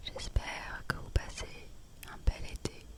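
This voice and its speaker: Whispering at a very slow pace, a woman sounds relaxed as noticeable background noise sits behind her. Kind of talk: whispered ASMR vlog to camera. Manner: whispered, soft-spoken, relaxed.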